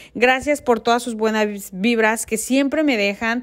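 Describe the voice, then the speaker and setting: At a moderate pace, a woman speaks with fairly high pitch and fairly even intonation. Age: 30s. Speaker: beauty and fashion vlogger. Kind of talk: makeup tutorial; casual farewell to viewers.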